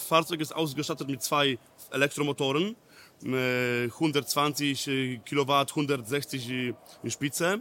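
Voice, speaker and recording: Talking at a very slow pace, a man has a Polish accent and a fairly high pitch. His tone is bright and sharp, his intonation fairly even, with big swings in loudness. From Poland, near Poznań. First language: Polish (speaking German). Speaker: technical trainer. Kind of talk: training session. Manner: halting, broken German.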